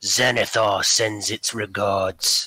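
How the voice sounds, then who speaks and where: A man puts on a raspy character voice at a fairly low pitch. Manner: ominous.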